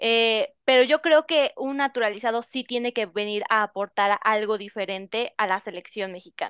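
Against a quiet background, a woman speaks in an unremarkable speaking voice, fairly high in pitch with ordinary variation. Her moderate pace has hardly any pauses, and the sound is dry and close with no echo. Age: young. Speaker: radio sports panelist. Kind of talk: sports talk radio.

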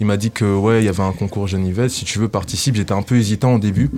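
A man with a normal speaking voice talks at a fairly quick pace in a fairly low pitch, with ordinary pitch variation. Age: 20s. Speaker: rapper. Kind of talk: radio interview.

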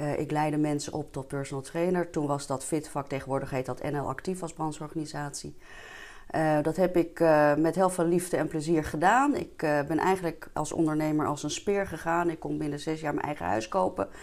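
A fairly quick-paced woman with a very deep, low pitch. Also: ordinary pitch variation. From Netherlands, Diemen near Amsterdam. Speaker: entrepreneur and vitality coach. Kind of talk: interview. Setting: studio.

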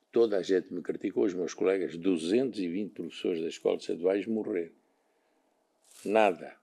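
A man's very deep, low voice with a dark, mellow tone, fairly even intonation and long, frequent pauses. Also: moderate pace. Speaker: retired physical education teacher. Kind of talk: interview.

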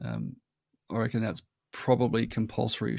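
This man's dark, mellow voice sits at a medium pitch. He moves at a fairly quick pace with fairly even intonation. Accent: Australian. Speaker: marketing consultant. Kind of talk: casual chat. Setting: remote recording. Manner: repetitive, halting restarts.

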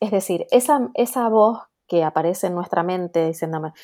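A woman at a medium pitch with a dark, mellow tone, talking at a moderate pace. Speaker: career coach, former law graduate. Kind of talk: interview conversation.

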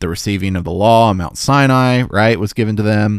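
In a normal speaking voice, a man with an American accent speaks at a moderate pace and fairly low pitch on a very clean recording with a silent background. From US South, Memphis, Tennessee. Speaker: podcast host, Bible teacher. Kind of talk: solo Bible study podcast. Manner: casual with many filler words.

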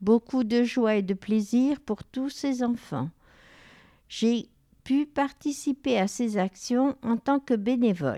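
A woman speaks very slowly at a high pitch, her tone dark and mellow. The recording is very clean, with a silent background. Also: ordinary pitch variation. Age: 70s. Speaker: retiree, volunteer. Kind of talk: reading aloud.

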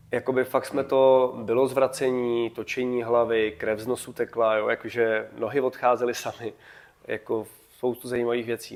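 Keeping to a moderate pace, a man talks in a monotone with flat intonation. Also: medium pitch for a man. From Czechia, Kutná Hora. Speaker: running coach and teacher. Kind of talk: casual interview.

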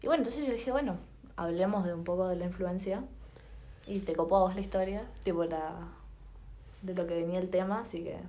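In a room with audible echo, a woman with an Argentine accent talks at a fairly quick pace and medium pitch with ordinary pitch variation, pausing long and often. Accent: Rioplatense Argentine Spanish. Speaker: podcast co-host. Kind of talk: casual chat.

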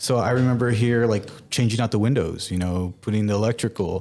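In an ordinary speaking voice with an American accent, a man speaks at a fairly low pitch with ordinary pitch variation on a very clean recording with a silent background. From El Paso, Texas (US-Mexico border). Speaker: artist and gallery owner. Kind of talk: interview. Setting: art gallery.

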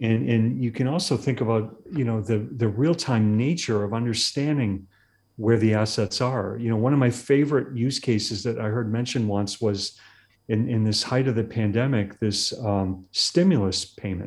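With an American accent, a man talks in a normal speaking voice at medium pitch, moderate pace and ordinary pitch variation. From Massachusetts. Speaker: tech executive. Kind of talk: interview.

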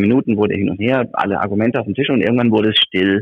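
Ordinary pitch variation in a male voice. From Germany. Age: 50s. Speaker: textile factory executive. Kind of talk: interview. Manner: animated.

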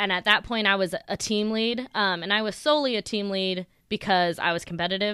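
A woman with a Californian accent speaks at a fairly quick pace with hardly any pauses. Her medium-pitched voice has a bright, sharp tone and ordinary pitch variation. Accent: General American (California). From Sacramento, California. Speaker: podcast co-host, restaurant team leader. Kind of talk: casual chat.

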